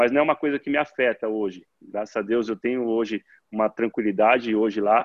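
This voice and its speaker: A medium-pitched man speaks at a fairly quick pace with fairly even intonation. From interior of São Paulo state, Brazil. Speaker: professional football player. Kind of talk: casual interview. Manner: halting, many repeated words.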